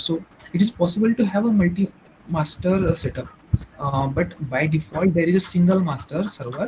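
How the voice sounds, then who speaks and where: A man's high voice in an Indian accent, at a moderate pace with ordinary pitch variation, over noticeable background noise. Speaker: IT trainee presenter. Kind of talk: technical explanation in group session. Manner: halting with many fillers. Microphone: too quiet.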